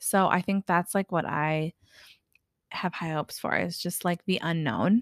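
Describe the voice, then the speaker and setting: Animated in tone, a woman with a fairly low voice and ordinary pitch variation speaks at a fairly slow pace, on a very clean recording with a silent background and a dry, close sound with no echo. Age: 30s. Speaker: esthetician and podcast co-host. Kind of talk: casual chat.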